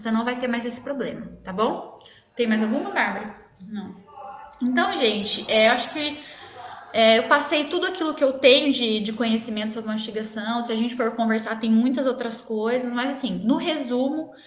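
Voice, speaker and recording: In a room with audible echo and noticeable background noise, a woman speaks with a high pitch, ordinary pitch variation and a moderate pace. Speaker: dentist. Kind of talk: live stream Q&A. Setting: live stream.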